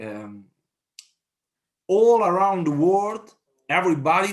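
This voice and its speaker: A man talks at a fairly slow pace with a strong Italian accent. His intonation is lively. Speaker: town mayor. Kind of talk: conference speech. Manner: halting.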